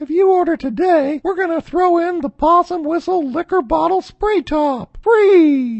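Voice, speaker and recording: In a cartoonish character voice, a woman speaks at an extremely high pitch with lively intonation and hardly any pauses. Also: moderate pace. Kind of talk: comic infomercial pitch. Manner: excited, giddy.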